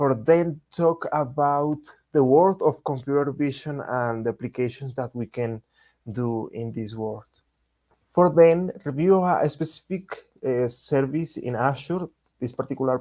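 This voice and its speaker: In a Spanish accent, a man with a fairly high pitch and a dark, mellow tone speaks at a fairly slow pace. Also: ordinary pitch variation. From Latin America. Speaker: software engineer and developer advocate. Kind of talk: technical presentation. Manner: halting, many fillers.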